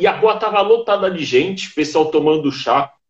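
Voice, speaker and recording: At a moderate pace, a man with high pitch speaks with ordinary pitch variation. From São Paulo, Brazil. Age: 30s. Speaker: YouTuber. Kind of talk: casual interview. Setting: live stream.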